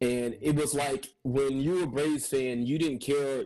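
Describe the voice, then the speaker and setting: An ordinary speaking voice from a man at medium pitch, with ordinary pitch variation, a moderate pace and a quiet background. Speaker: cinematographer and filmmaker. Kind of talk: casual interview chat.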